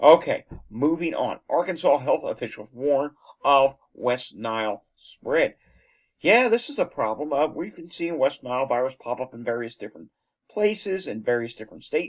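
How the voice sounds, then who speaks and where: A man speaks at a moderate pace in an unremarkable speaking voice, pitched fairly high. His intonation is lively, and his loudness swings widely. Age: 30s. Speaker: news video host. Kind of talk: news commentary. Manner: casual, conversational with fillers.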